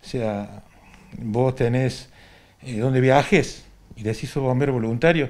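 A man of medium pitch speaks at a very slow pace. His pitch varies in an ordinary way. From Argentina, Córdoba province. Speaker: retired volunteer firefighter. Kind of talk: interview testimony. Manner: halting. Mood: reminiscing, calm.

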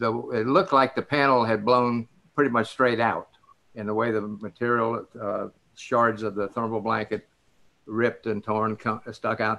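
In a Southern US accent, a man with a bright, sharp tone speaks at a medium pitch and fairly even intonation. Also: moderate pace. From Biloxi, Mississippi, USA. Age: 80s+. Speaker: retired astronaut and test pilot. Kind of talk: interview answer. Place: home room. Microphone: video call.

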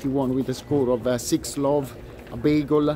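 With music in the background, a man in an Italian accent speaks at a fairly slow pace with a fairly high pitch and fairly even intonation, the sound dry with no echo. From Italy. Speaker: tennis commentator, video blogger. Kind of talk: solo vlog commentary. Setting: outdoors at a tennis venue. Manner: hesitant, many fillers. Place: stadium. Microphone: phone near.

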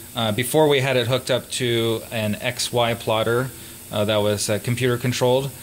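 A man speaks at a moderate pace with fairly even intonation over light background noise. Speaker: electronics maker demonstrating a tool. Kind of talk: tutorial. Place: workshop.

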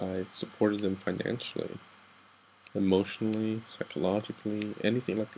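A man with an American accent, fairly low pitch and monotone, flat intonation, at a moderate pace. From Texas and Guatemala. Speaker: soldier, vlogger. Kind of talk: late-night personal vent. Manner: halting. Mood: down, emotional. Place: home room. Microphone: webcam.

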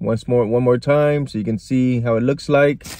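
In a dry sound with no echo, a man speaks with fairly even intonation. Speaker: food reviewer. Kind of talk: casual vlog chat. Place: car. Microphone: phone near.

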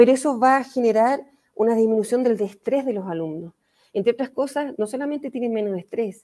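Her tone dark and mellow, a woman speaks at a fairly high pitch with ordinary pitch variation. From Chile. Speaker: history teacher and educator; history teacher, educator. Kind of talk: online talk.

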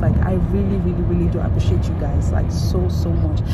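Loud background noise under a woman's fairly quick speech. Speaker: vlogger. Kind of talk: casual vlog chat. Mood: grateful, excited. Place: car. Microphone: phone near.

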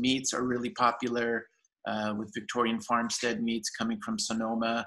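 At a moderate pace, a man speaks at medium pitch with a fairly bright tone and little pitch movement.

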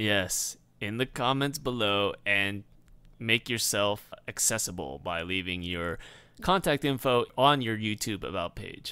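Man with an ordinary speaking voice, fairly low in pitch, at a fairly slow pace with lively intonation. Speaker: podcast co-host. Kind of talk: casual chat.

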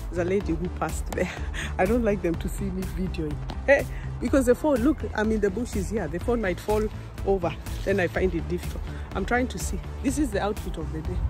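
Clear music plays in the background. A woman speaks at a very fast pace in a dry sound with no echo. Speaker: vlogger. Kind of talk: casual vlog chat. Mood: cheerful, laughing. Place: forest. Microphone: phone near.

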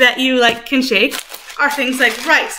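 A high-pitched woman at a moderate pace, with light background noise. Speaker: music teacher. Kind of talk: lesson for young children. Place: kitchen. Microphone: webcam.

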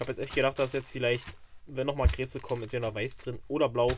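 Here a man speaks at a fairly quick pace.

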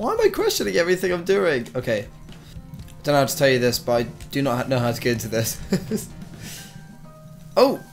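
With music in the background, a man at a medium pitch uses lively intonation and takes long, frequent pauses. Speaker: gamer. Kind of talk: gameplay commentary.

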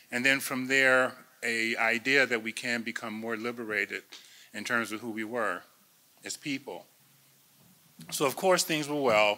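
In an American accent, a man with a bright, sharp tone and medium pitch talks at a moderate pace with ordinary pitch variation and long, frequent pauses. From US Midwest. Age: 60s. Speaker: imam. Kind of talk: panel talk. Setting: stage with audience. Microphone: podium.

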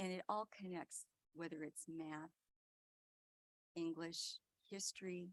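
A soft-spoken woman's fairly low, monotone, flat voice at a fairly slow pace, with long, frequent pauses and a dry, close sound with no echo. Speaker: school board member. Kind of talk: board meeting report. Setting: public board meeting.

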